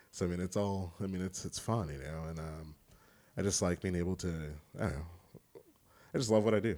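Speaking with an American accent, a man with a very deep, low pitch and a dark, mellow tone moves at a fairly quick pace with ordinary pitch variation and long, frequent pauses. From Kansas City, US Midwest. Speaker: boudoir photographer. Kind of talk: casual interview chat.

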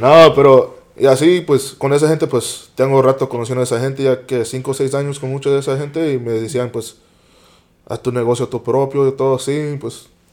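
A man speaks quite quickly at a medium pitch, using monotone, flat intonation. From US West Coast, San Jose, California (Eastside). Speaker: podcast guest, small food business owner. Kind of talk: casual chat.

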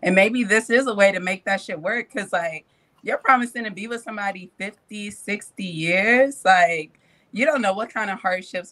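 A woman's medium-pitched voice, bright and sharp in tone, with lively intonation. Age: 20s. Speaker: podcast panelist. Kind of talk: casual chat.

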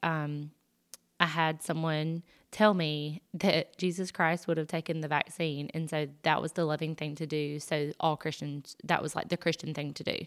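A woman speaks in a very deep, low pitch with a Southern US accent on a very clean recording with a silent background. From US South. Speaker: podcast host. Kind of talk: personal testimony monologue. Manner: casual, many fillers.

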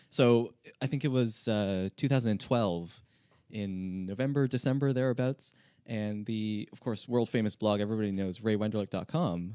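Heard in a very clean recording with a silent background, an ordinary speaking voice with a Canadian accent moves at a moderate pace with ordinary pitch variation. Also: man, fairly low pitch for a man. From Canada, Toronto. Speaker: software engineer. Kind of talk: interview.

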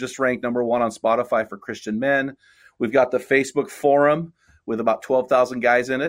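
A man's unremarkable speaking voice at medium pitch, fairly quick with fairly even intonation, on a very clean recording with a silent background. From California central coast. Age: 50s. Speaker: men's ministry leader and author. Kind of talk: casual interview.

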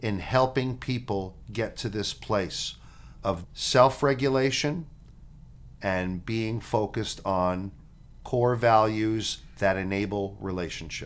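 Pitched fairly low, a man with an unremarkable speaking voice shows ordinary pitch variation. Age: 50s. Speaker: podcast co-host and teacher. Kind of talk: casual chat; reading aloud.

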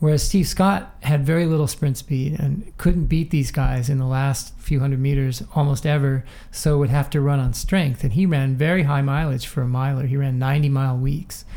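A man with an American accent speaks at a moderate pace and fairly high pitch, his dark, mellow tone somewhat breathy, his intonation fairly even, hardly any pauses, and audible room echo around him. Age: 60s. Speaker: running coach. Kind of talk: interview.

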